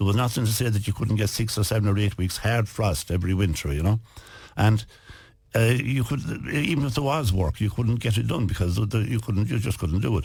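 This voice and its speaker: With a western Irish accent, a man speaks at a fairly low pitch and a fairly quick pace with ordinary pitch variation. His voice is somewhat breathy, with very even loudness. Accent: rural west of Ireland Irish. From West of Ireland. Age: 70s. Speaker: businessman and author. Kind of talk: radio interview.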